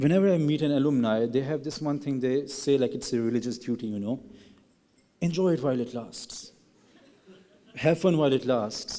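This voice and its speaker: Speaking with a Pashto accent at a fairly quick pace, the voice shows ordinary pitch variation and long, frequent pauses. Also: man, medium pitch for a man. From Pakistan. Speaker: graduating student speaker. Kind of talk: ceremony speech.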